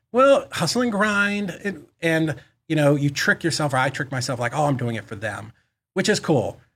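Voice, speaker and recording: Here a man speaks with an American accent at a moderate pace. His pitch is fairly high and swings very widely. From Boston, US. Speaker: real estate investor and business owner. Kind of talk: casual interview.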